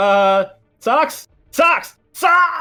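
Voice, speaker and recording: A put-on character voice with a high pitch swings very widely in pitch. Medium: actual play.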